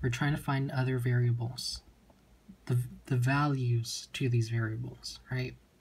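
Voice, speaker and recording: At a moderate pace, a man speaks in a somewhat breathy voice of medium pitch with a dark, mellow tone. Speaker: chemistry tutor. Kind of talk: tutorial.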